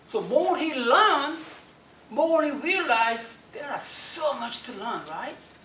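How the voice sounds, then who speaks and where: In a strong Korean accent, a woman with a high pitch speaks at a fairly slow pace, with long, frequent pauses and big swings in loudness, amid noticeable background noise and audible room echo. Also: lively intonation. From South Korea. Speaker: motivational speaker. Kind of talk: motivational talk.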